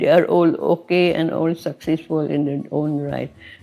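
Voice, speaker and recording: Over music in the background, a woman talks at a fairly slow pace in a fairly low pitch, her intonation monotone and flat. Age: 90s. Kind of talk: interview answer. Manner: gentle, soft-spoken.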